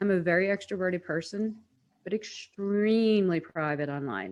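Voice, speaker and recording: A woman with an unremarkable speaking voice talks at a medium pitch. Her pace is moderate. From United States. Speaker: personal branding strategist. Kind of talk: webinar presentation.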